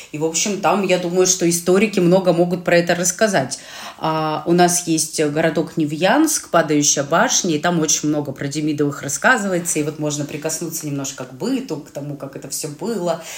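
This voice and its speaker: Amid noticeable background noise, a woman with a fairly low pitch talks at a fairly quick pace, with big swings in loudness. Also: ordinary pitch variation. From Urals, Russia (Chelyabinsk region). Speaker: podcast co-host. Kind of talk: casual chat. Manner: animated.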